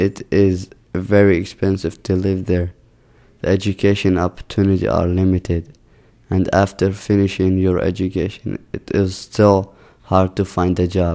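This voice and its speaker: A man with an Arabic accent speaks at a moderate pace in a very deep, low pitch. His tone is dark and mellow, and his intonation is monotone and flat. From Jordan. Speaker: immigrant student. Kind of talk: scripted narration.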